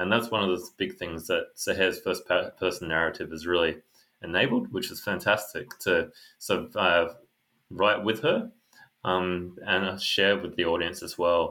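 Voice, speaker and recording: Speaking with an Australian accent, a man talks at a moderate pace. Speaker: author. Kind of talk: interview. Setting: video call.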